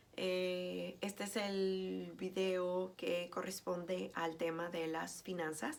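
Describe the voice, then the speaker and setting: A woman's voice with audible room echo. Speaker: teacher. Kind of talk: lecture. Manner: hesitant, many fillers.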